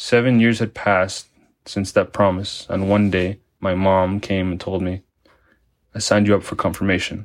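The man speaks with monotone, flat intonation. The recording is very clean and the background silent. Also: fairly low pitch for a man, moderate pace. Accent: Spanish. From Mexico, Tijuana. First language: Spanish. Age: 20s. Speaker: parishioner. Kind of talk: testimony.

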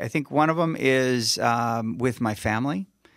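A man's voice, a plain, everyday voice, sits at a medium pitch and varies in an ordinary way, captured on a very clean recording against a silent background. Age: 50s. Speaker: pastor. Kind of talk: casual chat.

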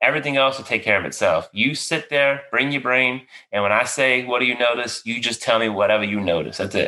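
A man with a Louisiana accent, medium pitch and a fairly quick pace. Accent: Cajun Louisiana. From Louisiana, near New Orleans. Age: 40s. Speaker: podcast host, veteran therapist. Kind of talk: casual interview.

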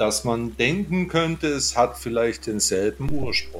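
There is noticeable background noise. Over it, a man speaks at a fairly slow pace. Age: 50s. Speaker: Buddhist monk and podcaster. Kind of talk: casual interview conversation. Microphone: good audio setup.

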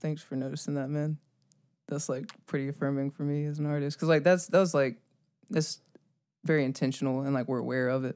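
Talking at a fairly quick pace with long, frequent pauses, a man with a fairly high pitch keeps his intonation fairly even. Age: 20s. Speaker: musician. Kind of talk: casual interview.

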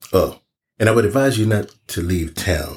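A man speaks at a fairly slow pace with lively intonation. His voice is somewhat breathy. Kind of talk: horror audio drama dialogue. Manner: gruff, folksy, probing.

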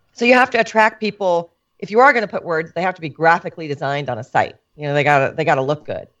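A woman with an American accent talks at a very fast pace in an animated tone, her fairly low pitch moving in very wide swings. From Switzerland, later California. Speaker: photographer, former TV meteorologist. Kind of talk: casual chat. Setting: her studio, remote call.

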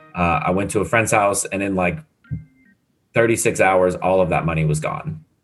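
Over background music, a man with a very deep, low pitch talks at a moderate pace with ordinary pitch variation and long, frequent pauses. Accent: American. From San Diego, California. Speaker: podcaster in addiction recovery. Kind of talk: interview testimony.

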